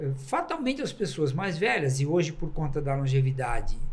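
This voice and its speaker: A man's voice with audible room echo. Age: 70s. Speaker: journalist. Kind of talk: podcast discussion.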